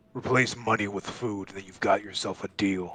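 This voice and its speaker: Speaking at a moderate pace, a man puts on a growling character voice, fairly low and flat in a monotone. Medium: actual play. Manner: curt, dismissive.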